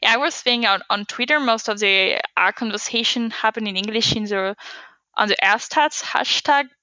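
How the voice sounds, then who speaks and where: A woman with a non-native accent and a fairly high pitch speaks at a moderate pace. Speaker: data scientist. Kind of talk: podcast interview.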